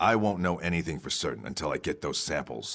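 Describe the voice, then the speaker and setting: A man puts on a raspy character voice with a very deep, low pitch, talking at a very fast pace. The recording is very clean, with a silent background. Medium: video game. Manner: blunt, brisk.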